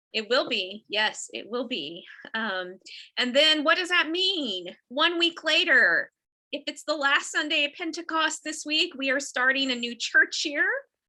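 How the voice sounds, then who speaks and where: A woman's raised, projected voice, high in pitch and bright and sharp in tone, with very wide pitch swings, a fairly slow pace and an American accent. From Texas. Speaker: Episcopal priest. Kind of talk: casual chat. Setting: video call.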